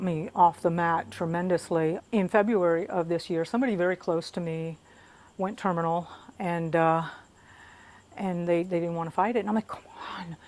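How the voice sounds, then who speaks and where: An ordinary speaking voice moves at a moderate pace. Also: woman. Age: 60s. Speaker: jiu jitsu student. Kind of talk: casual talk to camera.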